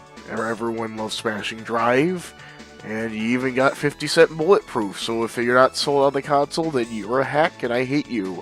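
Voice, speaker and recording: Music plays in the background as a man talks at a moderate pace with medium pitch and ordinary pitch variation. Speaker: gaming video creator. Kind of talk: casual gaming commentary.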